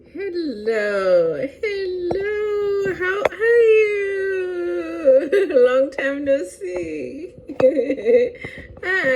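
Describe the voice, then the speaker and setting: Over noticeable background noise, a woman with a Lesotho accent speaks at a very slow pace in an extremely high voice that makes very wide pitch swings. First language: Sesotho. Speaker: language teacher. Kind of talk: educational talk to camera.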